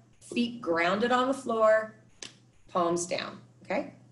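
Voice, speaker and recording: In a very slow, lively delivery, a woman with an American accent speaks at a fairly high pitch. The recording carries audible room echo. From California. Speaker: meditation and movement teacher. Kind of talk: workshop instruction; guided meditation. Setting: video call. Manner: soft-spoken.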